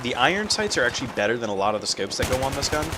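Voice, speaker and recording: A man's voice over noticeable background noise. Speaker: gaming commentator. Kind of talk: casual gameplay commentary. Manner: casual, hesitant with fillers.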